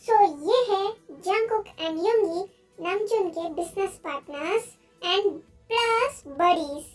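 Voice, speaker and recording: This woman's put-on character voice is squeaky and extremely high. Her delivery is fairly slow. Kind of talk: fan story narration. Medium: fan dub. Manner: casual, chatty.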